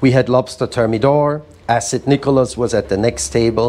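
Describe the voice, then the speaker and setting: With noticeable background noise, a man talks at a moderate pace in a medium pitch with ordinary pitch variation. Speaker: museum founder and curator. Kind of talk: spoken word reading of letters. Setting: live event.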